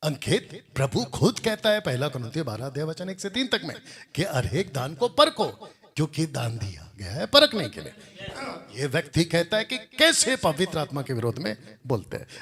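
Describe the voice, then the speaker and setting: A man speaks in a fairly high voice that moves through very wide pitch swings. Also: moderate pace. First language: Telugu (speaking Hindi). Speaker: Bible teacher. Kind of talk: religious rebuttal commentary. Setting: classroom with Bible college students.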